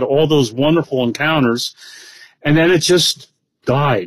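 A man's ordinary speaking voice, at a moderate pace with fairly even intonation. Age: 60s. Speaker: bowhunter. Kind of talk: casual chat.

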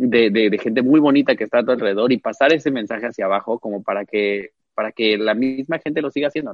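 A man speaks at a very fast pace with hardly any pauses. His pitch is medium, with ordinary variation. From Cancún, Mexico. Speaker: drag performer. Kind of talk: interview.

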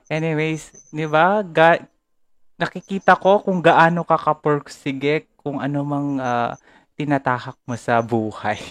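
Against a quiet background, the delivery proceeds fairly slowly. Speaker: podcast host. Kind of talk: live-streamed casual conversation.

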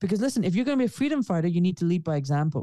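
A man's dark, mellow tone in a dry, close sound with no echo. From Scotland, Glasgow. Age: 40s. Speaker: orthopaedic surgeon. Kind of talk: interview. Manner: blunt, direct.

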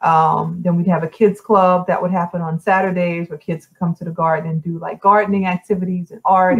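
A woman's somewhat breathy, fairly low voice, flat and monotone, at a fairly quick pace, dry and close with no echo. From New Orleans, Louisiana. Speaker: former 3D modeler and community developer. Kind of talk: interview, casual chat. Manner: hesitant, many fillers.

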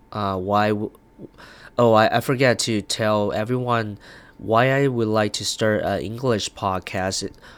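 Speaking with a Chinese accent, a man talks at a fairly slow pace in a fairly low pitch with fairly even intonation. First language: Mandarin Chinese. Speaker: podcaster. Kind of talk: casual monologue. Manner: halting, many fillers.

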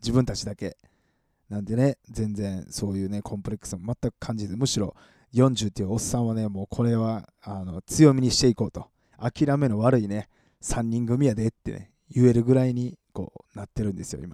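In a Kansai accent, the voice moves at a fairly quick pace with a dark, mellow tone, ordinary pitch variation, and big swings in loudness, in a dry, close sound with no echo on a very clean recording with a silent background. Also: man, medium pitch for a man. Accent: Kansai Japanese. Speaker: radio host and live streamer.

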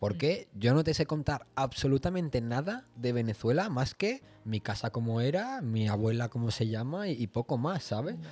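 A man with an ordinary speaking voice, medium pitch, a moderate pace and lively intonation. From Spain, Barcelona. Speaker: podcast host. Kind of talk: casual chat.

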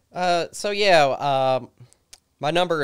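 A man with an Appalachian accent and ordinary pitch variation. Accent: southern Appalachian American. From southwest Virginia, Christiansburg. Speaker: goat grazing business owner. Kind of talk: interview. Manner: halting.

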